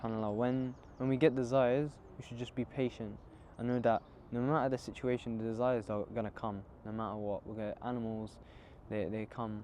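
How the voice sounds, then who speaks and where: A man talks fairly quickly at a medium pitch with a dark, mellow tone. His intonation stays fairly even. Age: young. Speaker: Islamic book reviewer. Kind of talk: casual book reflection. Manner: soft-spoken; halting.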